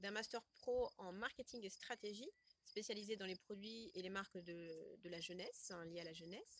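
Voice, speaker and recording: A woman speaks in a normal speaking voice at a medium pitch. She keeps a moderate pace with ordinary pitch variation. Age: 30s. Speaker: educational project manager and marketing trainer. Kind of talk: interview answer.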